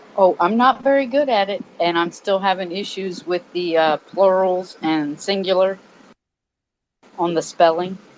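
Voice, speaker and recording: Speaking in a Southern US accent, a woman talks at a medium pitch and a fairly slow pace. Her pitch variation is ordinary. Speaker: audio room participant. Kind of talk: casual chat. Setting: online audio room.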